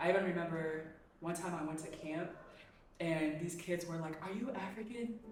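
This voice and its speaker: Over background music, with audible room echo, a woman speaks at a moderate pace, fairly low in pitch with ordinary variation. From Kenya, raised in US Bay Area. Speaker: interview guest. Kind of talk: casual interview.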